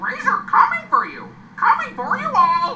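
Squeaky and extremely high in pitch, this put-on character voice moves at a moderate pace. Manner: squawking.

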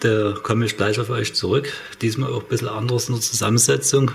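The intonation is fairly even. It comes from a man. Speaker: home cooking vlogger. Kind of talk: casual cooking tutorial chat. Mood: joking, ironic. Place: kitchen.

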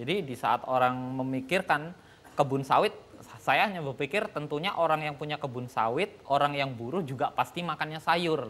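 Speaking at a moderate pace with ordinary pitch variation, this voice swings widely in loudness. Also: man. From Medan, North Sumatra, Indonesia; North Sumatra, Indonesia. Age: 40s. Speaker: farmer; guest. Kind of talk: TV talk show interview; speech. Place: studio. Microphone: lapel.

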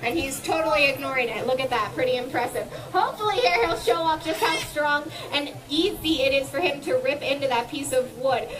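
With music in the background, a woman speaks at a moderate pace in a high pitch with ordinary pitch variation. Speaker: presenter. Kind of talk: educational show commentary. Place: garden.

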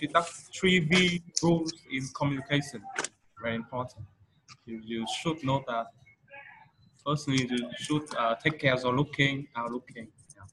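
A man talks at a medium pitch with ordinary pitch variation and big swings in loudness. He speaks at a fairly slow pace with long, frequent pauses, over noticeable background noise. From Vietnam. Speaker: English teacher. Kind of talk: English lesson, tutorial. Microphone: webcam.

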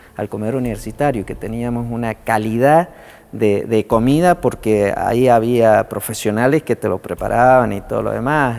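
Moderate pace and ordinary pitch variation in a man's medium-pitched voice. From Argentina, General Alvear (Mendoza); Mendoza, Argentina. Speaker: politician and university lecturer; politician, university lecturer. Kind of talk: interview testimony. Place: hall. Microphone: lapel.

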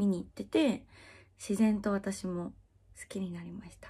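Over a quiet background, a woman's voice is somewhat breathy. She speaks at a fairly slow pace. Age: 20s. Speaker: adult video actress. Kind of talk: casual Q&A chat. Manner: frequent laughter. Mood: cheerful, friendly. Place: home room.

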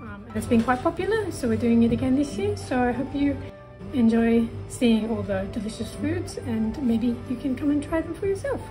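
A woman at a moderate pace, clear music in the background. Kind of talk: casual explanation to camera. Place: cafe. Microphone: phone near.

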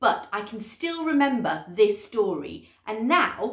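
The intonation is lively in this reading aloud in a natural voice.

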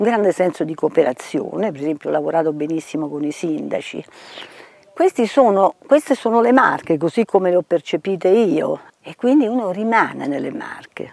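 A woman with a fairly low pitch speaks with very wide pitch swings and big swings in loudness, in a dry sound with no echo. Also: moderate pace. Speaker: retired architect and heritage official. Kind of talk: interview testimony. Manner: halting. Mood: warm, reflective. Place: garden.

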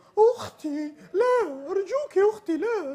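A squeaky put-on character voice, extremely high in pitch, at a fairly slow pace. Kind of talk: voice impression performance. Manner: pleading. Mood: pleading, dramatic.

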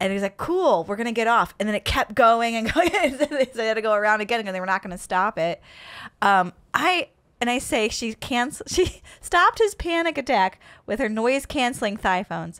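A woman talks at a moderate pace in a northern US accent. Her fairly high voice has lively intonation. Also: very clean recording, silent background. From upstate New York. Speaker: comedian and podcast host. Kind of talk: casual interview chat.

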